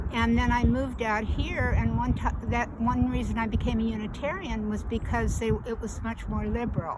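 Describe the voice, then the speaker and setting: A woman talks at a moderate pace with hardly any pauses, amid noticeable background noise and audible room echo. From US Midwest, Kansas. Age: 70s. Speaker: community member interviewee. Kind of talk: interview.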